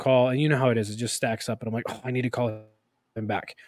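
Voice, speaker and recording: A man's medium-pitched voice in a monotone with flat intonation, on a very clean recording with a silent background. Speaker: podcast co-host. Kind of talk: casual chat. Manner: casual, joking.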